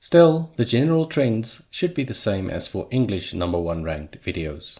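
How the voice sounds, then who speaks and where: In a very clean recording with a silent background, a man speaks with a South African accent. His medium pitch swings very widely at a moderate pace. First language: Afrikaans. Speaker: YouTuber. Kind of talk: scripted narration.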